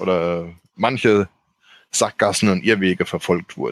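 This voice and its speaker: A normal speaking voice from a man, fairly low in pitch, at a fairly slow pace with fairly even intonation, in a very clean recording with a silent background and a dry, close sound with no echo. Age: 40s. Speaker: board game editor. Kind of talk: casual chat.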